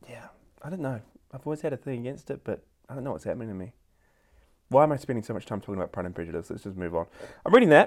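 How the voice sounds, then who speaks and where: On a very clean recording with a silent background, a man with a New Zealand accent talks very fast at medium pitch, with very wide pitch swings, big swings in loudness and long, frequent pauses. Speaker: podcast co-host. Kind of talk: casual chat.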